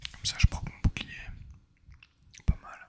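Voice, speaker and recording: A man is whispering. His tone is relaxed. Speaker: ASMR gaming video creator. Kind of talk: casual relaxed gameplay commentary. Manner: soft-spoken, relaxed.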